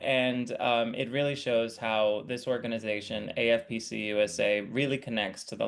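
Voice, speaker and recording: In a normal speaking voice, a man of medium pitch talks with fairly even intonation. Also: hardly any pauses. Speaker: editorial supervisor. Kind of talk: interview host talk.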